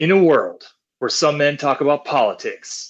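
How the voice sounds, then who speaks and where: A man's put-on character voice at a fairly high pitch. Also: moderate pace. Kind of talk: eighties action film trailer.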